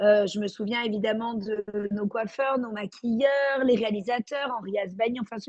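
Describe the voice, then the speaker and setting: A woman with a fairly high voice speaks in a fairly even tone, recorded dry and close with no echo. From Marseille, southern France. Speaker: actress. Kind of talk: interview. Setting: remote video call. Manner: hesitant, many fillers.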